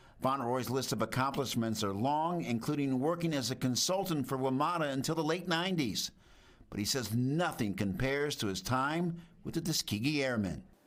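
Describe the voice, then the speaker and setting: A man with an ordinary speaking voice talks at a moderate pace and medium pitch, with lively intonation, on a very clean recording with a silent background. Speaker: TV news reporter. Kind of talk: TV news report narration.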